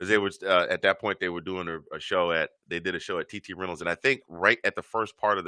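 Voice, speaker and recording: A man with a very deep, low pitch and a bright, sharp tone talks at a very fast pace with hardly any pauses and fairly even intonation. The sound is dry and close with no echo over a quiet background. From Georgia, US South. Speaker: podcast host. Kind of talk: casual interview chat. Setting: studio.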